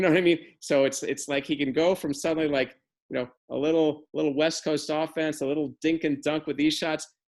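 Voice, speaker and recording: A fairly high-pitched man's voice at a fairly quick pace. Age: 60s. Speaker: tennis journalist. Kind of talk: casual chat. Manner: animated.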